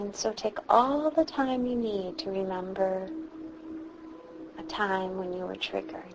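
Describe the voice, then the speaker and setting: A woman speaks at a fairly slow pace and medium pitch, with very wide pitch swings. She leaves long, frequent pauses over noticeable background noise. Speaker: meditation guide. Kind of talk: guided meditation. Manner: slow, soft-spoken.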